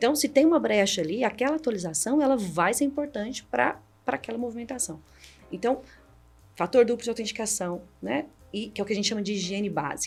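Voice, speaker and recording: With music in the background, a woman with a Minas Gerais accent speaks at a fairly quick pace and fairly high pitch, her tone animated and her intonation lively. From Minas Gerais, Brazil. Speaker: cybersecurity executive. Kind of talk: podcast interview.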